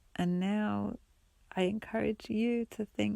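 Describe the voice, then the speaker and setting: Soft-spoken and fairly slow, a woman's voice comes across dry and close, with no echo. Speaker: solo podcaster. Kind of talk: reflective monologue. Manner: halting.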